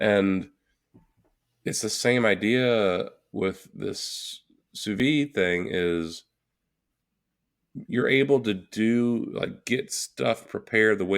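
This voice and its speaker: A man speaks at a fairly low pitch with ordinary pitch variation. Long, frequent pauses break up a very clean recording with a silent background. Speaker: podcast co-host. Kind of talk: casual chat.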